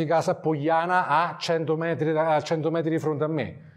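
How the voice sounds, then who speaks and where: A man's fairly high voice at a moderate pace over a quiet background. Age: 40s. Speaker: wildlife photographer; guest. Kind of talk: talk to a club audience. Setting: photo club evening with audience. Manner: casual, halting with fillers. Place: hall.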